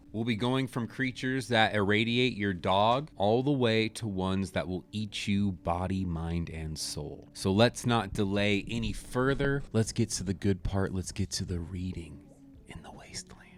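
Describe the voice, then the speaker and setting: A man speaks in a plain, everyday voice with a fairly low pitch. He keeps a moderate pace with hardly any pauses. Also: ordinary pitch variation. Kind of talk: casual storytelling podcast narration with chatty asides.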